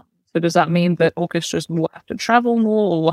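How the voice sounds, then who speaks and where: Someone with a London accent talks at a fairly quick pace, recorded very cleanly on a silent background with a dry, close sound and no echo. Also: woman. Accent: southern English (London). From London, England. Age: young. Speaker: orchestra conductor. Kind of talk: interview.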